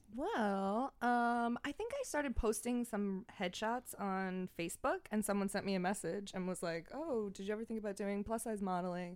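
A woman of medium pitch with a Long Island accent, hardly any pauses between words. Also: ordinary pitch variation, moderate pace. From Long Island, New York (Franklin Square). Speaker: podcast host, social media influencer. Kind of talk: casual chat.

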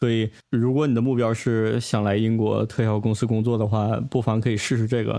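This man talks at a fairly quick pace with a medium pitch and a dark, mellow tone. His loudness is very even and his intonation a flat monotone. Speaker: podcast host. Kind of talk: casual chat.

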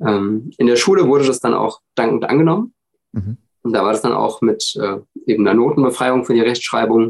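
Vocal fry colors a man's medium-pitched voice. He talks at a fairly quick pace with ordinary pitch variation. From Hesse, Germany (village near Frankfurt). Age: 30s. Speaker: podcast guest with dyslexia. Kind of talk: casual interview.

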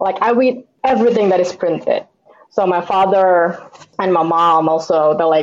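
A woman speaks at a medium pitch and moderate pace with ordinary pitch variation. Hers is a plain, everyday voice. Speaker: comic book artist. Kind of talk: casual conversation interview.

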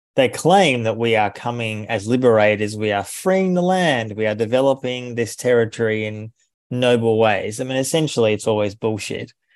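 A man's medium-pitched voice with an Australian accent, ordinary pitch variation, a moderate pace and hardly any pauses. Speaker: author and journalist. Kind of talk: interview.

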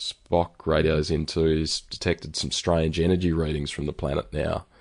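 Against a quiet background, a man with an Australian accent speaks at a moderate pace in a very deep, low voice with monotone, flat intonation. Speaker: podcast host. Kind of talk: casual chat. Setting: remote call. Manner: hesitant, many ums and ahs.

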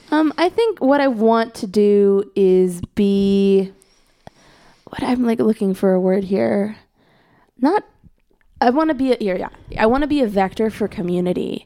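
At a fairly slow pace with long, frequent pauses, a woman of medium pitch speaks in a dark, mellow tone with lively intonation. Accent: American. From US Midwest, Chicago suburbs (Skokie, Illinois). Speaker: musician and internet music organizer. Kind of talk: casual chat.

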